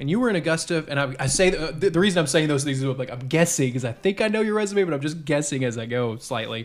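A man talking very fast with hardly any pauses, fairly high in pitch, with lively intonation. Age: 30s. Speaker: podcast host. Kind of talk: casual chat. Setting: kitchen table.

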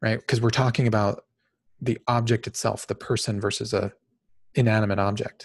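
In an American accent, a man talks at a moderate pace and medium pitch, somewhat breathy, with monotone, flat intonation and very even loudness, on a very clean recording with a silent background. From Phoenix, Arizona, US. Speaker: podcast host, organizational psychologist. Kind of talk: solo podcast monologue. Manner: casual, with frequent fillers (um).

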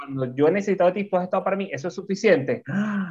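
A high-pitched man talks at a very fast pace. His intonation is lively. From Venezuela. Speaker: podcast co-host, entrepreneur and speaker. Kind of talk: casual interview chat. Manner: animated.

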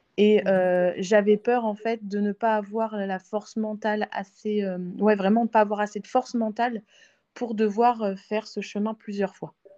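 Speaking at a fairly slow pace with monotone, flat intonation, a woman with a fairly high pitch comes through a dry, close sound with no echo over a quiet background. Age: 30s. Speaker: IVF patient sharing her story. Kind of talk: testimony. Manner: hesitant, many fillers.

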